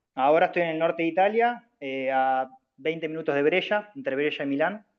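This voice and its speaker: His intonation lively, a man speaks at a fairly high pitch. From Argentina, Bahía Blanca. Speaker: student, professional basketball player. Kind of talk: self-introduction in class. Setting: video call. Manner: hesitant, many fillers.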